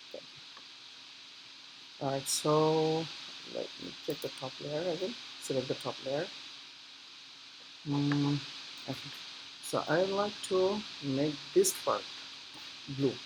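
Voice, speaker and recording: Very slow speech with long, frequent pauses and noticeable background noise. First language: not English. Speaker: software tutorial maker. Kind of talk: tutorial. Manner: halting, many fillers.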